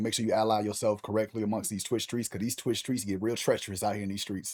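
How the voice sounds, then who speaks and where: A man with an American accent speaks in an energetic tone in a very clean recording with a silent background. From US South, Louisiana. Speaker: streamer. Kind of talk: casual chat. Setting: live stream. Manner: loud.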